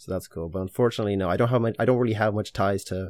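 A man with an Irish accent speaks at a very fast pace in a fairly low pitch with fairly even intonation, on a very clean recording with a silent background. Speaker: fashion content creator. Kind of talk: casual interview.

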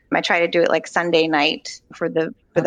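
A woman with an American accent speaks at a fairly quick pace in a fairly low pitch, her voice showing vocal fry, recorded with a dry, close sound and no echo. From Virginia, Charlottesville. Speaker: food truck co-owner. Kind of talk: interview.

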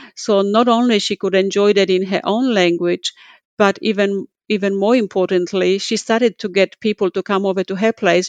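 A woman with a Polish accent talks at a moderate pace and a medium pitch. The sound is dry and close with no echo, over a quiet background. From Poland. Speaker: community services CEO. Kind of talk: interview conversation. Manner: passionate, animated.

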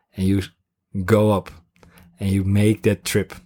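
Speaking with a Dutch accent, a man with a fairly low pitch and a dark, mellow tone talks at a fairly slow pace, the sound dry and close with no echo on a very clean recording with a silent background. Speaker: podcast co-host, coach. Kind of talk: casual chat. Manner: halting.

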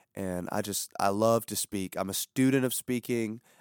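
A man with a plain, everyday voice speaks at medium pitch and a fairly slow pace with fairly even intonation, the sound dry and close with no echo in a very clean recording with a silent background. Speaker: pastor and podcast host. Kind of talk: casual chat.

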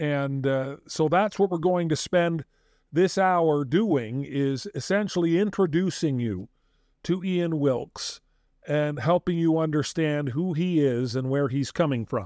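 In an American accent, a man with a plain, everyday voice talks at a fairly slow pace, his fairly high pitch showing ordinary variation. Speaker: podcast host. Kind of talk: casual chat.

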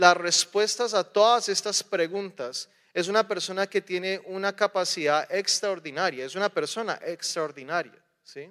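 Against a quiet background, a man speaks fairly slowly at a high pitch with ordinary pitch variation, in a dry, close sound with no echo. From raised partly in the US, partly in Colombia. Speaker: preacher. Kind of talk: sermon.

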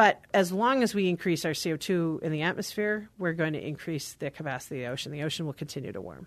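The woman's fairly low voice moves at a very fast pace with hardly any pauses. Her intonation is lively, and the background is quiet. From Alaska, Arctic. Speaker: geoscientist, professor. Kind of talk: interview.

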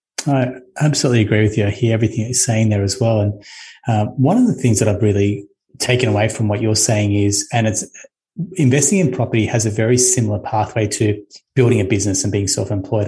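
With an Australian accent, a man speaks at a very fast pace in a medium, somewhat breathy voice of dark, mellow tone and fairly even intonation. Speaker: podcast host and mortgage broker. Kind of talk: interview.

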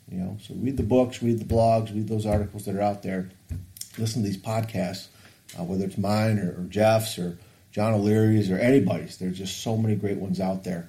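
This man has a plain, everyday voice with a fairly low pitch and fairly even intonation. He talks at a fairly quick pace. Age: 50s. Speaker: podcast host and coach. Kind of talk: casual chat.

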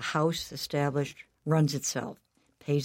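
A woman speaks at a very deep, low pitch and a fairly slow pace. The recording is very clean with a silent background. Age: 70s. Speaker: retired lawyer, guest. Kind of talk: interview storytelling.

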